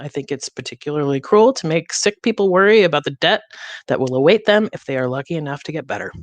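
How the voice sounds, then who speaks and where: A woman with an American accent speaks at a very deep, low pitch and a very fast pace. Her pitch swings very widely, and the sound is dry and close with no echo. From US Midwest, Detroit area. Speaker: comedian and show host. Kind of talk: monologue opening a streamed talk show. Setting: streamed theatre show.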